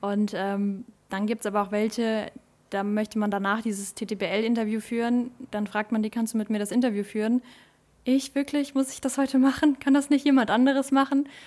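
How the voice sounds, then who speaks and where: A woman's normal speaking voice, fairly high in pitch, with fairly even intonation and a moderate pace. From Germany, Westerwald region. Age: 20s. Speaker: table tennis club social media manager. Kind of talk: casual chat; promotional announcement.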